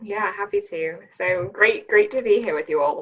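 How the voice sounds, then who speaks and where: A woman is speaking. She has an Australian accent. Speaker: venture capital investor. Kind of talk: panel discussion.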